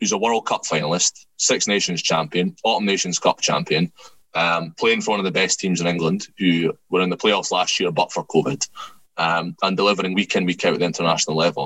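Talking at a fairly quick pace, a man with a Scottish accent sounds dry and close, with no echo. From Scotland. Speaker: rugby commentator and writer. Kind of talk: casual chat.

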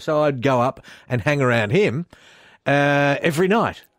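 In a very clean recording with a silent background, a man with an Australian accent talks at a fairly high pitch, his voice making very wide pitch swings. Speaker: radio host. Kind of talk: casual radio interview. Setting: radio studio.

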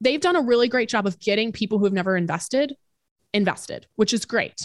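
In a plain, everyday voice, a woman speaks at a fairly quick pace and fairly high pitch, recorded very cleanly against a silent background with a dry, close sound and no echo. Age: 20s. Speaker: entrepreneur and personal finance podcast host. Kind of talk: casual interview.

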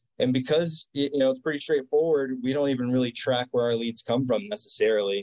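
In an unremarkable speaking voice, a man talks at a fairly quick pace with hardly any pauses, a medium pitch, ordinary pitch variation and very even loudness, in a dry, close sound with no echo. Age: 40s. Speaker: gym owner. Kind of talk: interview.

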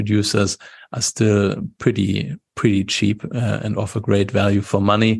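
A man with a German accent talks at a moderate pace in a fairly low voice with vocal fry. His intonation is monotone and flat over a quiet background. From Germany. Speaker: wine expert and YouTuber. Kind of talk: interview. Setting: video call.

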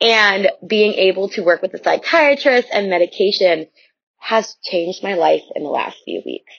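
A woman with an American accent speaks in a plain, everyday voice at a medium pitch and a moderate pace. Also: lively intonation. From Chicago area. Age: 20s. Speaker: listener leaving voicemail. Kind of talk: voicemail testimony. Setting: recorded voice memo.

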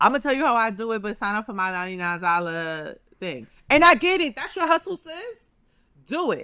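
A woman speaks at a fairly quick pace in a fairly high, animated voice, with very wide pitch swings and big swings in loudness, on a very clean recording with a silent background. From New York City, Harlem. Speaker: podcast host, chocolate company founder. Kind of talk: casual chat.

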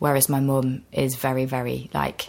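The woman here speaks with a very deep, low pitch. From England, Nottingham. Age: 20s. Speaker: actor. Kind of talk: casual chat. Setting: cafe.

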